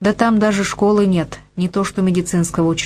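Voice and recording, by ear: With fairly even intonation, a person reads aloud in a natural voice.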